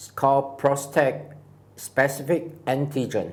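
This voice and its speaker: A man's plain, everyday voice, fairly high in pitch, at a fairly slow pace. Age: 60s. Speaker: cancer survivor, retiree. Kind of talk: personal testimony. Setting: studio.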